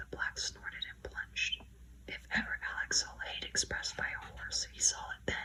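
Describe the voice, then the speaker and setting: A soft-spoken woman's whisper at a fairly slow pace, with noticeable background noise. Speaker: ASMR creator. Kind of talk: audiobook narration, whispered bedtime story. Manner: whispered, soft-spoken.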